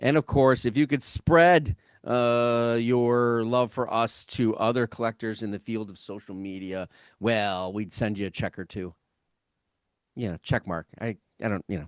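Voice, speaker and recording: Over a quiet background, the voice moves at a fairly slow pace with ordinary pitch variation and big swings in loudness, the sound dry and close with no echo. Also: man, medium pitch for a man. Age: 50s. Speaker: music reviewer, show host. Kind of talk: casual chat. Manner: halting, many fillers and repetitions.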